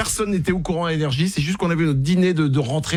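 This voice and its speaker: A man speaks at a very fast pace with ordinary pitch variation. His voice is somewhat breathy. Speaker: radio host. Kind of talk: live radio show banter. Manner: casual, joking, chatty.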